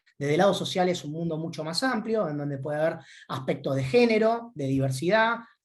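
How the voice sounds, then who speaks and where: A man talks fairly quickly in a high-pitched voice. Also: quiet background. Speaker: credit rating analyst. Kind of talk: webinar presentation. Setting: online talk. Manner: fast; hesitant, many fillers.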